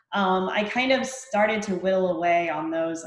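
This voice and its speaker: With audible echo from the room, a woman talks at a moderate tempo. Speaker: fitness coach. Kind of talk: testimony.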